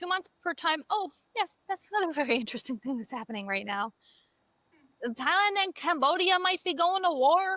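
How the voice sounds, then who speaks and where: Confident and projecting a raised voice, a woman speaks at a moderate pace with an extremely high pitch, very wide pitch swings and a bright, sharp tone, in a dry, close sound with no echo. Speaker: podcast co-host. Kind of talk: casual chat. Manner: confident and loud.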